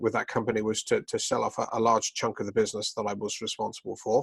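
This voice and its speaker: A man talks with a slight British accent. The sound is dry and close, without echo. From United Kingdom. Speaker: business executive. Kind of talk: interview. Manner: hesitant, many fillers.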